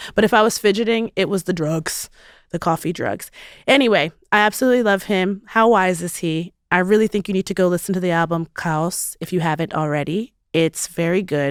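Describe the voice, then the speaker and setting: With an animated tone and ordinary pitch variation, a woman talks at a fairly quick pace, the sound dry and close with no echo on a very clean recording with a silent background. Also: medium pitch for a woman. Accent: American. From US Mid-Atlantic (Baltimore), Nigerian family. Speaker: podcast host and comedian. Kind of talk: casual chat.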